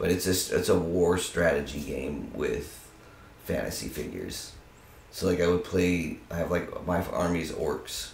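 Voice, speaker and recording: Talking at a fairly slow pace, a man is heard with audible room echo and light background noise. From Arizona and California (Tucson and Monterey); Arizona; California. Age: 30s. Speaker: university student; interviewee. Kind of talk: casual interview. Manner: animated. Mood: relaxed, amused explaining. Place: home room.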